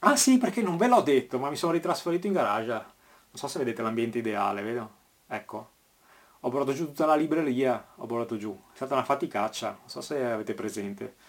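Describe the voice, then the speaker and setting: A man with a medium pitch rattles off his words at a very fast pace, his intonation lively. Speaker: cycling podcast host. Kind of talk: news roundup monologue. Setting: garage.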